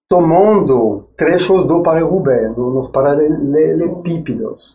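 A man with a French accent speaks at a very slow pace in a dark, mellow tone. His pitch is high with ordinary variation, and the room echo is audible. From France. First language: French (speaking Portuguese). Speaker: former track cyclist and engineer. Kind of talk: podcast interview. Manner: halting.

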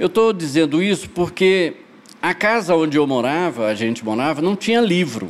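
A man's high voice at a fairly slow pace over noticeable background noise. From Goiás, Brazil. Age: 60s. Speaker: poet and shop co-founder. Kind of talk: casual podcast interview.

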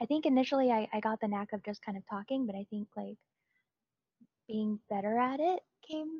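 A woman speaks softly at a moderate pace, her fairly high voice somewhat breathy. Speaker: streamer. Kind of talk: interview. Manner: soft-spoken; halting.

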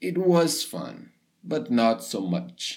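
A man speaks very slowly with a Portuguese accent, his pitch swinging very widely. The recording is very clean, with a silent background. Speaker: English teacher. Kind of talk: podcast monologue for learners. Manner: casual, upbeat.

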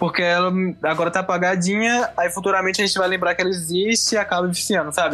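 There is noticeable background noise as a man talks at a very fast pace. His pitch is high and his loudness very even. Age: 20s. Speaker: film student. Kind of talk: casual chat.

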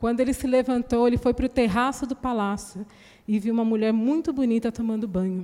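A woman speaks at a fairly quick pace with a fairly high pitch, a dark, mellow tone and fairly even intonation. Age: 40s. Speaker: preacher. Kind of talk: sermon.

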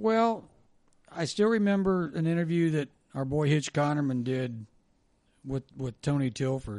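A man with an American accent, fairly high in pitch, at a fairly slow pace with lively intonation and long, frequent pauses. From Ohio. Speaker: former sports radio host. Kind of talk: casual chat.

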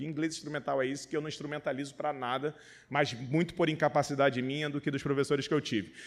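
On a very clean recording with a silent background, a man speaks fairly quickly in a fairly high voice. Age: 30s. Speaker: pastor. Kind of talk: sermon. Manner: animated.

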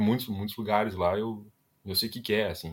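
Speaking at a fairly quick pace, a man has a fairly low pitch and an ordinary speaking voice. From Rio Grande do Sul, Brazil (Ivoti). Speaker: product designer. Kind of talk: casual interview chat.

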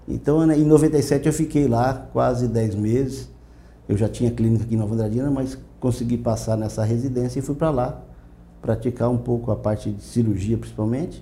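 A man speaks at a moderate pace with a dark, mellow tone. His voice is somewhat breathy, with fairly even intonation. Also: medium pitch for a man. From Brazil, Mato Grosso do Sul. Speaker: veterinarian. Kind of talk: interview. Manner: halting.

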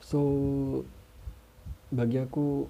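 Dark and mellow in tone, the man's voice carries a somewhat breathy quality. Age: 30s. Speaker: podcaster. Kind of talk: casual monologue.

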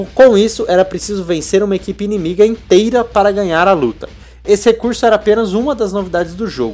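The speech races along at a very fast pace with ordinary pitch variation. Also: man, high pitch for a man. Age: 20s. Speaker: podcast host. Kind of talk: casual chat; reading aloud.

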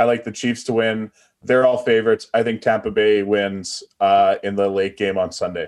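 The man's medium-pitched voice moves at a moderate pace with a monotone, flat intonation. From Atlantic Canada. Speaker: sports betting analyst. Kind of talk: casual chat.

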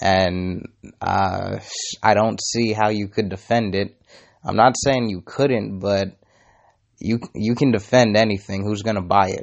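With an ordinary speaking voice, a man talks at a fairly slow pace, his pitch fairly low and his intonation fairly even. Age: 20s. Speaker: podcaster. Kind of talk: solo monologue.

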